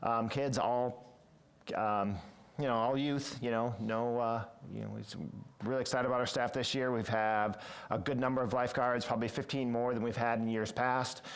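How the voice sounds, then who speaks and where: A man speaks in a flat monotone with audible room echo. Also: medium pitch for a man, moderate pace, very even loudness. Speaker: city parks and recreation director. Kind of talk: committee meeting report. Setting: city council committee meeting. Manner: hesitant fillers.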